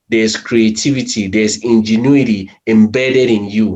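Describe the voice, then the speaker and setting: A man talks with a non-native accent. His pace is fairly slow. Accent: foreign. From Cameroon. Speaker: medical technologist, panelist. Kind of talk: panel discussion.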